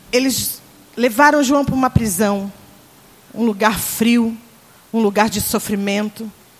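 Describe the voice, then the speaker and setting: A woman at a fairly slow pace, fairly even intonation, long, frequent pauses, noticeable background noise. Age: 40s. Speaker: pastor. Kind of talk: sermon. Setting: church conference with congregation.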